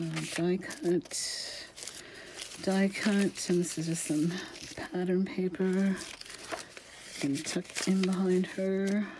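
A woman speaks at a very slow pace, with long, frequent pauses. Noticeable background noise runs underneath. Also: medium pitch for a woman. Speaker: craft channel host selling journals. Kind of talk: casual video flip-through narration. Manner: chatty, casual, laughs often.

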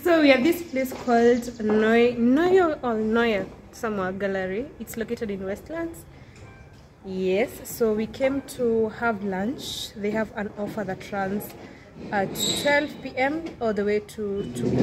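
Noticeable background noise runs beneath the recording. A woman speaks at a very slow pace. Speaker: vlogger. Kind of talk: casual vlog chat. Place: hall. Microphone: phone near.

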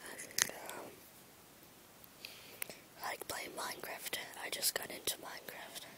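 Whispering over noticeable background noise. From England. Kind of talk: casual talk to camera; ASMR whisper. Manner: whispered.

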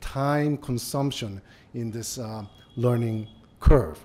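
Very slow in pace, a man with a Japanese accent speaks in a dark, mellow tone with ordinary pitch variation. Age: 50s. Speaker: business executive. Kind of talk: lecture. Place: hall. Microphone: podium.

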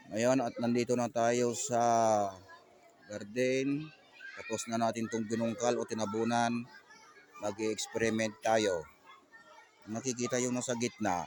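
Flat and monotone, a man talks at medium pitch and a fairly slow pace. Long pauses come often. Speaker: vlogger and gardener. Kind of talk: casual vlog narration. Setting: outdoors in a garden.

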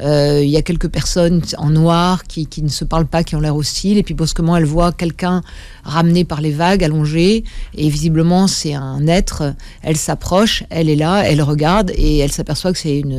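A woman uses a normal speaking voice at a fairly low pitch and moderate pace. Her intonation is fairly even, and the sound is dry with no echo. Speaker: guest. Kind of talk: interview answer. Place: studio. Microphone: studio mic.

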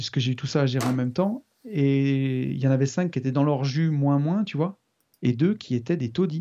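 In a quiet background, a man speaks at a moderate pace with a dark, mellow tone and ordinary pitch variation. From France, Loire near Saint-Étienne. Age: 40s. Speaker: property developer and investor. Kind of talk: interview. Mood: relaxed, rueful anecdote. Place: home room. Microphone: studio mic.

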